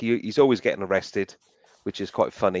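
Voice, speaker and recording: In a dry, close sound with no echo, a man with a South Welsh accent speaks at a fairly low pitch. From South Wales (Barry). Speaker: metal detecting channel host. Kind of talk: casual chat. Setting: live stream.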